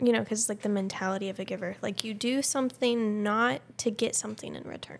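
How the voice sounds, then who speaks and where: At a moderate pace, a woman speaks at medium pitch with ordinary pitch variation, a plain, everyday voice. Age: young. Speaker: podcast co-host. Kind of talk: casual chat.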